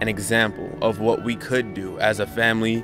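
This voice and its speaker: Over music in the background, a man with an American accent speaks at a medium pitch. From Redwood City, California. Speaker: aspiring actor and animator. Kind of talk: interview answer.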